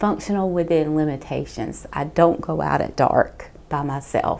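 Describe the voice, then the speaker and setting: A woman speaks with a Southern US accent. Her pace is fairly slow. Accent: Southern US (Georgia). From Georgia, US South. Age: 50s. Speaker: nurse and patient. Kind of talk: testimony.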